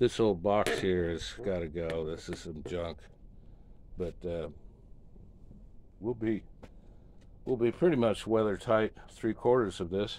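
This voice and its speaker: Over light background noise, a man speaks fairly slowly in a fairly low voice, with ordinary pitch variation and long, frequent pauses. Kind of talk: casual vlog tour narration. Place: workshop. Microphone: phone near.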